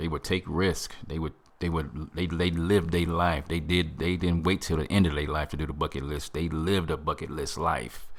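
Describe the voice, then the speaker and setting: Vocal fry marks a man's very deep, low voice as he talks at a moderate pace. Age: 50s. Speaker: self-help podcast host. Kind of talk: motivational podcast monologue. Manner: animated.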